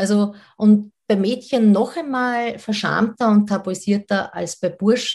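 A woman speaks very slowly and somewhat breathily at a medium pitch, with ordinary pitch variation. She hardly pauses, and the background is quiet. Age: 40s. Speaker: sex educator. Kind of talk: interview. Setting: video call.

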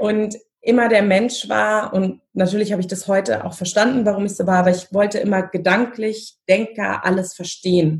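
Somewhat breathy, a woman speaks at a moderate pace and medium pitch, her intonation fairly even and her delivery with hardly any pauses. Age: 30s. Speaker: family constellation facilitator. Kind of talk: interview.

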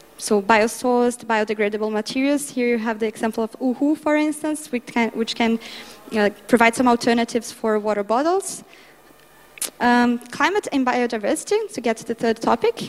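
The speaker has a Portuguese accent and a fairly quick pace. Pitch varies in an ordinary way, and there is noticeable background noise. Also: woman, high pitch for a woman. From Brazil. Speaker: international development speaker. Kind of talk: conference talk.

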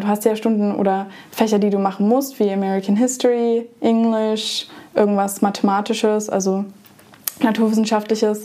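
Over noticeable background noise, a woman with a fairly high pitch talks at a moderate pace, keeping her loudness very even and her intonation monotone and flat. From Germany. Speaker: former exchange student. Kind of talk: casual interview.

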